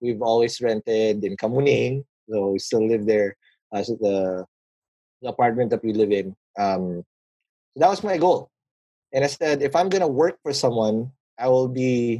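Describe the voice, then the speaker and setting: A man with a Filipino accent speaks at a moderate pace and medium pitch, his dark, mellow tone carrying lively intonation and long, frequent pauses, in a dry, close sound with no echo. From Philippines, Manila. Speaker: podcast founder and business guest. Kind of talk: casual interview chat about business.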